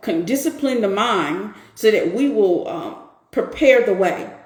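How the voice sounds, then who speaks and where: An animated woman's voice with very wide pitch swings and audible room echo. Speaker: women's empowerment coach hosting a live stream. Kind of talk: live stream talk answering viewers.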